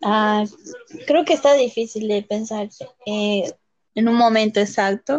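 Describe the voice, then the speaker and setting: A woman speaks at a very slow pace with long, frequent pauses, her fairly high voice showing ordinary pitch variation. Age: 20s. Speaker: podcast guest, host's sister. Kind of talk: casual chat.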